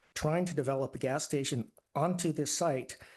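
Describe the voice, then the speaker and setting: Against a quiet background, a man with a fairly high pitch sounds somewhat breathy. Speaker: public commenter at city meeting. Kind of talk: public comment. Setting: public meeting hall. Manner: soft-spoken.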